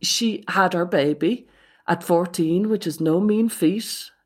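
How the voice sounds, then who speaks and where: A woman's fairly low voice in an Irish accent, with ordinary pitch variation, on a very clean recording with a silent background. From Ireland. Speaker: psychotherapist. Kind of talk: casual chat.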